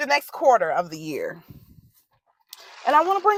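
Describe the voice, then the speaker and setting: A woman speaks loudly, in an animated tone and at a high pitch. Her pace is very fast. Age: 40s. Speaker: vlogger. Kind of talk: casual chat. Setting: outdoors.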